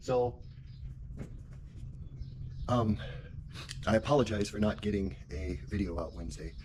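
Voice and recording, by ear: At a fairly slow pace, a man speaks with a fairly low pitch, ordinary pitch variation and a slightly mellow tone.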